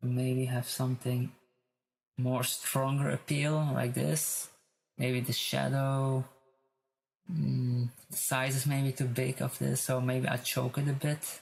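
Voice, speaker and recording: Very slow speech broken by long, frequent pauses. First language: not English. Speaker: tutorial creator. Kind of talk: tutorial. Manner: halting, searching for words.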